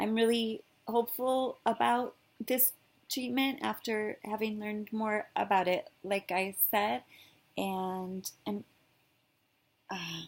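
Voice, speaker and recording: A woman's fairly high-pitched voice at a very slow pace, with long, frequent pauses and ordinary pitch variation. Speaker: video blogger sharing health journey. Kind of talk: casual vlog. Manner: halting, with many fillers and restarts.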